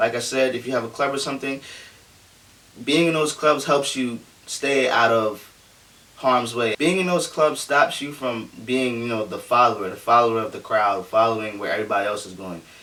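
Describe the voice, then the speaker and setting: A man with medium pitch speaks against noticeable background noise. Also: ordinary pitch variation, moderate pace. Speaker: youtuber giving advice. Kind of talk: casual vlog monologue. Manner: halting, many fillers and restarts.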